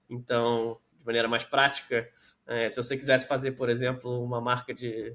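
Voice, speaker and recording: Medium-pitched male voice on a very clean recording with a silent background. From Brazil, Rio de Janeiro. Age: 30s. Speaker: tech company manager and entrepreneur. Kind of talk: casual interview.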